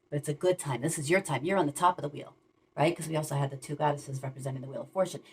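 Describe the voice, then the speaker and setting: A woman's very deep, low voice with vocal fry and ordinary pitch variation. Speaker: tarot reader. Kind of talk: tarot reading. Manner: fast; mumbling.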